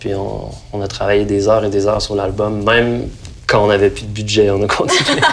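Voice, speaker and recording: A man speaks with a Quebec accent. Noticeable background noise sits behind him. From Saint-Nicolas, near Quebec City, Quebec. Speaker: singer-songwriter. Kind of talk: interview answer. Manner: casual, conversational.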